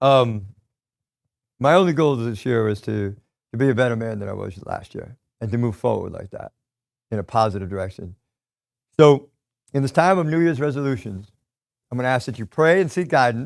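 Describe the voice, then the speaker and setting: With an American accent, a man of medium pitch speaks with lively intonation, big swings in loudness, and long, frequent pauses. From US Northeast. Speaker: real estate investor and coach. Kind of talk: motivational talk. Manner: fast.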